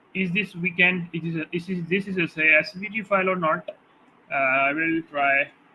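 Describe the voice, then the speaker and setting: Over noticeable background noise, a man talks at a moderate pace in a high pitch with fairly even intonation. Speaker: graphic design tutor. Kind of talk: tutorial. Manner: halting, many fillers.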